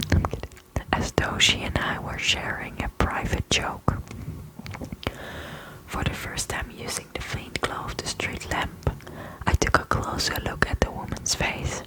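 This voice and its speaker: A whispering woman at a fairly slow pace, long, frequent pauses, noticeable background noise. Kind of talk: horror story narration, first person. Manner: whispered, soft-spoken.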